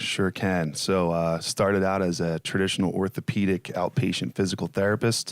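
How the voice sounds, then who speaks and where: A man speaks at a very deep, low pitch and a moderate pace, with fairly even intonation and very even loudness. The sound is dry and close with no echo, and there are hardly any pauses. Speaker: physical therapist. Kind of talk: casual interview chat.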